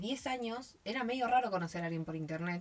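A woman speaks in an ordinary speaking voice, fairly low in pitch, with lively intonation. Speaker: podcast co-host. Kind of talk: casual chat. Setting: recording inside a wardrobe at home.

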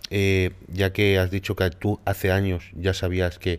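Over a very clean recording with a silent background, a man with a plain, everyday voice talks at a fairly slow pace and a fairly low pitch. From Málaga, southern Spain. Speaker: podcast host, bodybuilder and content creator. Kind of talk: casual interview.

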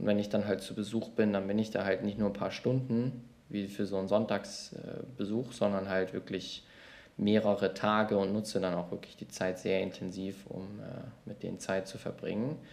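A man speaks in an ordinary speaking voice with a fairly low pitch. He keeps a moderate pace and fairly even intonation. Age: 20s. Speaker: management consultant and YouTuber. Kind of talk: casual chat.

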